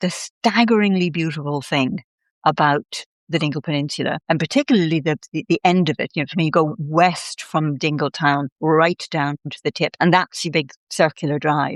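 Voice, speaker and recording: A woman speaks in a Dublin accent with a very deep, low pitch and ordinary pitch variation at a moderate pace. The sound is dry and close with no echo, over a quiet background. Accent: Irish (Dublin). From Ireland, Dublin. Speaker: writer and storyteller. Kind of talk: casual interview chat.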